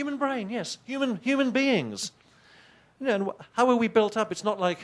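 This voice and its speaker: A man with an English accent and an extremely high pitch, animated in tone, at a moderate pace with ordinary pitch variation. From England. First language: not English. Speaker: professor. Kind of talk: keynote lecture. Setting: conference stage with audience. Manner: animated, conversational with hesitations.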